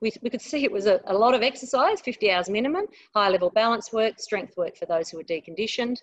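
Against a quiet background, a woman talks at a very fast pace with an Australian accent. Her pitch is fairly high and her intonation lively. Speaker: aged care exercise researcher. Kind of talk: webinar presentation. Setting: online webinar.

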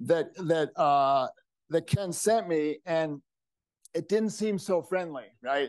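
Very slowly and at a high pitch, a man speaks against a quiet background, the sound dry with no echo. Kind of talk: event welcome remarks. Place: hall.

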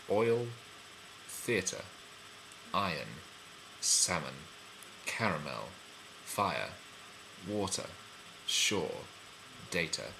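Very slowly, with long pauses coming often, a man talks against clearly audible background noise. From London, England. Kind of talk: casual talk to camera.

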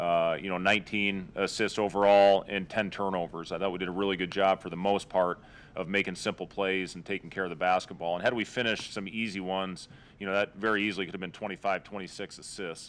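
A man's very deep, low voice at a fairly quick pace, with monotone, flat intonation. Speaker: basketball head coach. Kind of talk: interview answer. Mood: pleased, calm. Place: hall. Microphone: podium.

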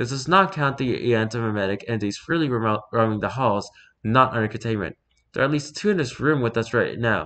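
A quiet background, ordinary pitch variation, and reading aloud in a natural voice

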